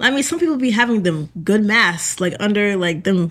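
A woman speaks at medium pitch with an American accent and lively intonation. Her pace is moderate, and she has an unremarkable speaking voice. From Massachusetts. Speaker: college student. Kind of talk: casual chat. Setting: studio.

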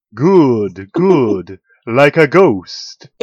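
Using a put-on character voice, a man speaks with a fairly high pitch. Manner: spooky, jokey.

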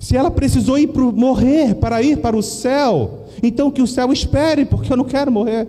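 Over noticeable background noise, a man speaks at an extremely high pitch with ordinary pitch variation and very even loudness. His pace is moderate, with hardly any pauses. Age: 40s. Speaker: pastor. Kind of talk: sermon.

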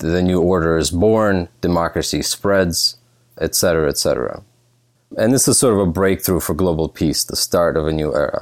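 With an American accent, a man speaks at a moderate pace in a very deep, low pitch. His pitch varies in an ordinary way. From Russia (Leningrad), moved to US at eleven. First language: Russian. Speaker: political science professor. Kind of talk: casual interview.

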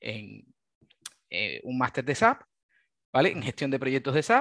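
Recorded very cleanly with a silent background and a dry, close sound with no echo, a man speaks at a fairly high pitch. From Cuba. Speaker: SAP software developer. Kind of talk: casual interview. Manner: halting, with many repetitions.

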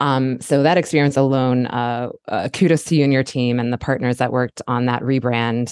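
A woman with an American accent speaks at a moderate pace with hardly any pauses, her voice very deep and low with fairly even intonation, over a quiet background. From Baltimore, Maryland. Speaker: podcast host, marketing consultant. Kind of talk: interview.

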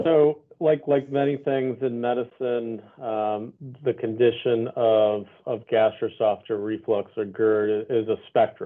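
A man with an unremarkable speaking voice, medium in pitch, at a fairly slow pace with fairly even intonation. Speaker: gastroenterologist. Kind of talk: expert Q&A on a live webinar. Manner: measured, explanatory.

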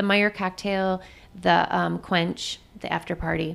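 A woman with an Upper Midwest accent at a moderate pace. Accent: Upper Midwest American. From Michigan (Jackson). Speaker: nurse. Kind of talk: interview conversation.

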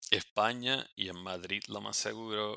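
With a bright, sharp tone, a man talks with ordinary pitch variation. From Puerto Rico. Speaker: dermatologist. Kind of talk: casual interview.

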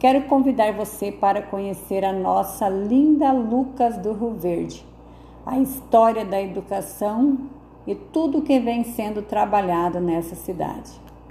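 Somewhat breathy, this woman's voice sits at a fairly high pitch. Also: ordinary pitch variation, fairly slow pace. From southern Brazil, Rio Grande do Sul. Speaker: local narrator presenting her town. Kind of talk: scripted narration. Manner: formal.

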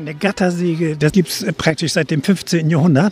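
At a moderate pace, a man talks in a high pitch. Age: old. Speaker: retired ship engineer. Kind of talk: casual chat. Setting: outdoors.

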